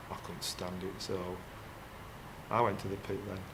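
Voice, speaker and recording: Audible room echo surrounds a man speaking at a fairly low pitch and moderate pace. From Yorkshire, Castleford. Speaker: former coal miner, electrician. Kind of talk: casual interview.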